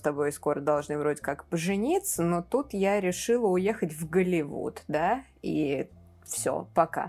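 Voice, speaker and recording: The recording is very clean and the background silent. A woman speaks at a moderate pace. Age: 20s. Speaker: film podcast co-host. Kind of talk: casual chat.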